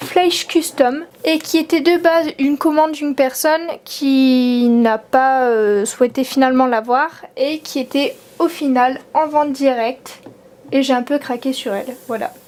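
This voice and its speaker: A high-pitched woman at a fairly slow pace, ordinary pitch variation and noticeable background noise. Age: 20s. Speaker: collector of custom model horses. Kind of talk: casual talk to camera.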